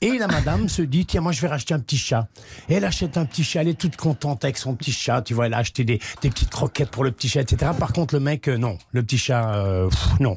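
Over a quiet background, a man with a medium pitch and a somewhat breathy voice talks at a very fast pace with very even loudness. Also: lively intonation. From Belgium. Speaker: comedian. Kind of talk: joke telling.

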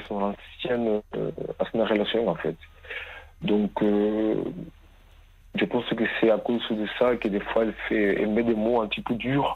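A man's fairly low, fairly even voice at a very slow pace. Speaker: caller. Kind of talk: testimony. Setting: phone call. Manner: halting.

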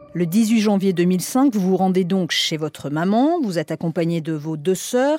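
A woman's medium-pitched voice over background music, fairly slow and lively in intonation, with hardly any pauses. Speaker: radio podcast host. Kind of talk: scripted narration.

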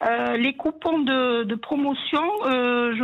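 A woman speaking in a high pitch. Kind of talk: casual chat. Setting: phone call.

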